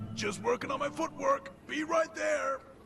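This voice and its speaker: A man puts on a raspy character voice. He goes at a moderate pace over clear background noise. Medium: fan dub. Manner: friendly, slightly nervous.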